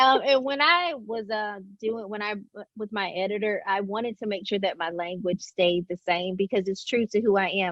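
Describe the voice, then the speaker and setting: At a moderate pace, a woman speaks with a medium pitch and ordinary pitch variation. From Alabama. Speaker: author. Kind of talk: interview. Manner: animated.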